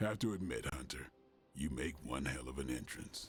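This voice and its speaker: In a put-on character voice, a man speaks raspy and very deep, with a very low pitch, at a moderate pace. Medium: video game. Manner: dry, sarcastic, laid-back.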